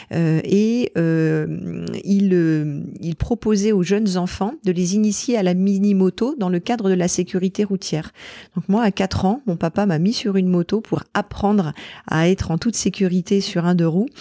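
Dark and mellow, a woman's voice moves at a fairly slow pace with ordinary pitch variation. The sound is dry and close with no echo, on a very clean recording with a silent background. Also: medium pitch for a woman. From Normandy, France. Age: 40s. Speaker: mountaineer and entrepreneur. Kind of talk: interview. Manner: halting.

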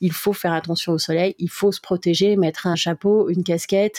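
A woman's fairly low, dark, mellow voice at a moderate pace with monotone, flat intonation, dry and close with no echo, in a very clean recording with a silent background. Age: 40s. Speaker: heart-lung transplant patient and association volunteer. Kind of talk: testimony. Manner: hesitant with fillers.

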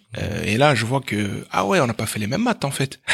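The man's voice shows ordinary pitch variation. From France, Meaux (Paris suburbs). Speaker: math teacher and entrepreneur. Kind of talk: interview. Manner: animated; halting.

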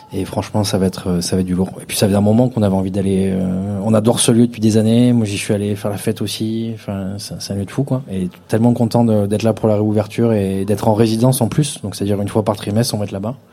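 Amid noticeable background noise, a man with a fairly low pitch rushes along at a very fast pace with fairly even intonation. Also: hardly any pauses. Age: 30s. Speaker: DJ. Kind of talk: live podcast interview. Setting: stage with live audience.

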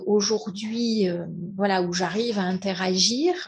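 A woman speaks at a very slow pace and a medium pitch. Her voice is somewhat breathy, with ordinary pitch variation. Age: 50s. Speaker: entrepreneur. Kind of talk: testimony. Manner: halting.

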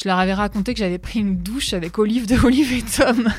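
Somewhat breathy, a woman talks at a fairly quick pace with a medium pitch and ordinary pitch variation. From northern France. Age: 40s. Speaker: radio host. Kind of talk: personal testimony. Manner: hesitant, repeating words.

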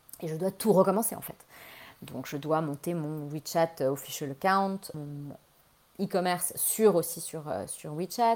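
A woman with a fairly low pitch speaks at a fairly slow pace in an unremarkable speaking voice, with ordinary pitch variation and big swings in loudness. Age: 40s. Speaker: fashion entrepreneur. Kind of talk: interview.

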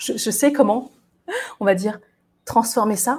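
At a moderate pace, a woman talks in a fairly high-pitched voice. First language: not French (speaking French). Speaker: resilience coach and podcaster. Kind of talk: solo monologue. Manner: halting, with many hesitations.

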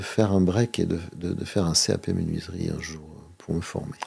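A man talks at a moderate pace. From Monaco. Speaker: local politician and association president. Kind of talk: interview. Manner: halting, frequent repetitions.

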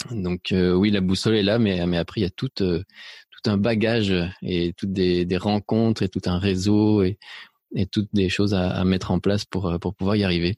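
In a dry, close recording with no echo and a silent background, a man speaks at a moderate pace in a very deep, low voice, monotone and flat, with very even loudness. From Spain, then France and Belgium. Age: 40s. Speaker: photographer and painting teacher. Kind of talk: podcast interview. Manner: hesitant, many repetitions and fillers.

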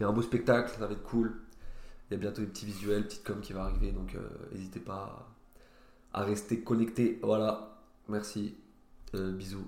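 Monotone and flat, the voice moves at a moderate pace with long, frequent pauses and big swings in loudness, and audible room echo surrounds it. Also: man, fairly low pitch for a man. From France, Nancy (Lorraine). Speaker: stand-up comedian. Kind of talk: casual chat.

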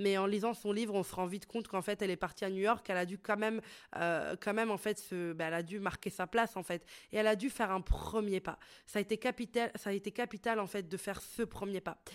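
Talking very fast, a woman of medium pitch keeps her intonation fairly even, recorded very cleanly with a silent background. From Italy. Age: 20s. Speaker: podcast host and entrepreneur. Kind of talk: solo podcast monologue. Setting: studio microphone. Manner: casual, hesitant with fillers.

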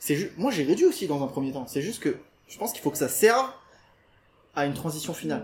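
A man with a high pitch speaks at a very fast pace, showing very wide pitch swings while leaving long, frequent pauses. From rural France, Portuguese farming family. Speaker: vegan nutritionist and trainer. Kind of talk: interview. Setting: house open to the jungle, in person.

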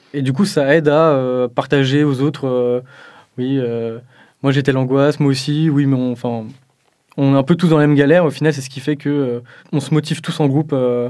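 With a dark, mellow tone and a fairly high pitch, a man speaks in a monotone, flat intonation at a moderate pace, leaving long, frequent pauses. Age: 20s. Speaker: computer science student. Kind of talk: interview testimony.

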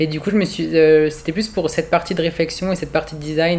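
A man's voice over noticeable background noise. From rural France. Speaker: fashion design student. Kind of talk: interview testimony. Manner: halting.

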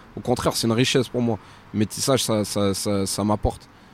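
A man talks in a normal speaking voice at a moderate pace, with medium pitch and ordinary pitch variation. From France. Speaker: professional boxer. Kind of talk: casual chat.

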